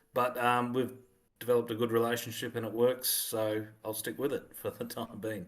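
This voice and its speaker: A man with an Australian accent speaks at a medium pitch and a moderate pace. His intonation is monotone and flat. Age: 40s. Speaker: author. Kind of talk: casual chat.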